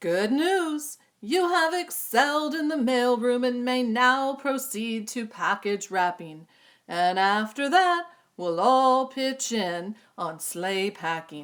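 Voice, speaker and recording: A woman speaks in a high pitch at a fairly slow pace, using a put-on character voice. The recording is very clean, with a silent background. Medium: read story. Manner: fussy, fretful.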